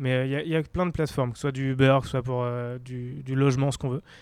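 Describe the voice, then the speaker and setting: A man speaks very fast in a very clean recording against a silent background. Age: 30s. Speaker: startup founder. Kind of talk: interview. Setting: art gallery.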